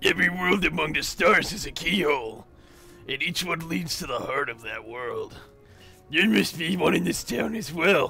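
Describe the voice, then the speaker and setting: Clear music plays behind a man doing a put-on character voice, raspy and high-pitched. His pace is moderate and his intonation lively. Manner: serious, brooding.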